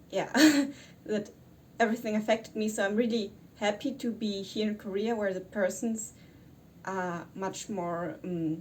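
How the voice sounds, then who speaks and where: With a German accent, a woman talks in a somewhat breathy, medium-pitched voice with ordinary pitch variation and long, frequent pauses. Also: moderate pace. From Germany. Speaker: YouTuber. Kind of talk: vlog. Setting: quarantine hotel room. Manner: halting.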